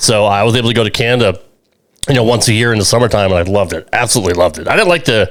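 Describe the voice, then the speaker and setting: American-accented man at medium pitch, very fast pace. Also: ordinary pitch variation. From United States. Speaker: podcast co-host. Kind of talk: casual chat. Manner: hesitant, many filler words.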